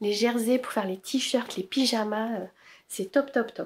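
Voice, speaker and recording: At a fairly slow pace, a woman with a fairly high pitch speaks with vocal fry and fairly even intonation. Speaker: knitting and sewing podcaster. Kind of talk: casual chat.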